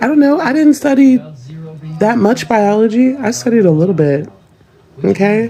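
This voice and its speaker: With a slight Southern US accent, a woman speaks at a moderate pace in a fairly high pitch with very wide pitch swings and long, frequent pauses. Noticeable background noise is present. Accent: slight Southern US, unexpected. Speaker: parent in social media clip. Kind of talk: casual vlog monologue. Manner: animated.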